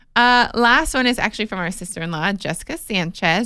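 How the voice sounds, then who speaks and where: At a fairly quick pace, a woman speaks at a medium pitch with a bright, sharp tone and lively intonation. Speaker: podcast host, former pageant queen and reality TV personality. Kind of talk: casual chat. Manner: mumbling.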